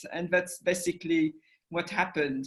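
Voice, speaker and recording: A woman with a French accent talks using ordinary pitch variation. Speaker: documentary institute director. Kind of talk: interview. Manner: halting.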